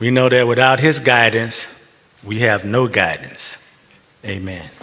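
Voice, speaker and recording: A man's medium-pitched voice at a fairly slow pace, with fairly even intonation and noticeable background noise. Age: 70s. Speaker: imam. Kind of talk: speech at interfaith service.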